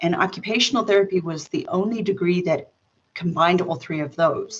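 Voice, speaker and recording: An American accent with ordinary pitch variation. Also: woman. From South Africa, formative years in New York. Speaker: occupational therapist. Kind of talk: interview.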